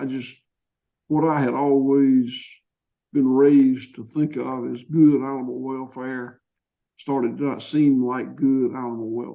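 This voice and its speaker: A man with a Georgia accent speaks fairly slowly in a flat monotone. His loudness swings widely. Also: medium pitch for a man. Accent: Southern US (Georgia). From US South, Georgia. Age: 60s. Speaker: farmer. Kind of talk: interview. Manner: halting, with repetitions.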